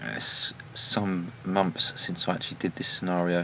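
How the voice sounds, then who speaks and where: A man's very deep, low voice in a flat monotone at a moderate pace, with noticeable background noise. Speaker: train simulator gameplay commentator. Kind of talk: gameplay commentary. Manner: soft-spoken.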